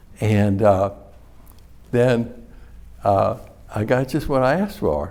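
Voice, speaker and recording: This man speaks fairly slowly in a dark, mellow tone. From New Iberia, Louisiana. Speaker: hot sauce company founder. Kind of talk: interview answer.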